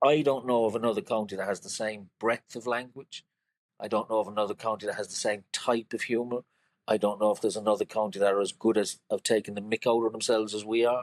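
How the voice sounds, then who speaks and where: Speaking very fast in a Cork accent, a man at medium pitch keeps a monotone, flat intonation in a dry, close sound with no echo. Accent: Cork Irish. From Cork, Ireland. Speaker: creative director, poet and artist. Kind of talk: podcast interview answer.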